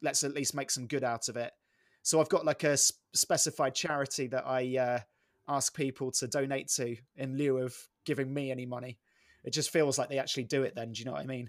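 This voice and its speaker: With an English accent, a man rattles off his words at a very fast pace, his medium-pitched voice flat and monotone. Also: dry, close sound with no echo. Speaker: sports comedian and voiceover artist. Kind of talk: casual interview. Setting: remote call.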